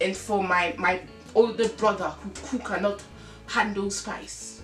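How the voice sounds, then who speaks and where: With a Ghanaian accent, a woman speaks fairly slowly in a fairly high, upbeat voice. Music plays in the background. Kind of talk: casual talk to camera. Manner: chatty, upbeat.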